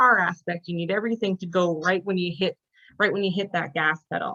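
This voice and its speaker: In a Canadian accent, a woman speaks at a medium pitch with ordinary pitch variation. Her pace is fairly quick. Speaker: sport physiotherapist. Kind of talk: online presentation. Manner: fast.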